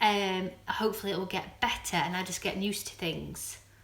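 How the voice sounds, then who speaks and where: A woman talks with a Yorkshire accent at a moderate pace. There is noticeable background noise. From Doncaster, South Yorkshire, northern England. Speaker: vlogger. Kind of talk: casual chat. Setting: live stream. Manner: halting.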